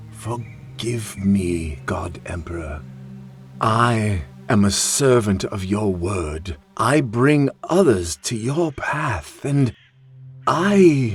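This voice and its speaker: Someone uses a put-on character voice at a very slow pace. Music plays in the background. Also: man, fairly low pitch for a man. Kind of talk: audio drama character performance.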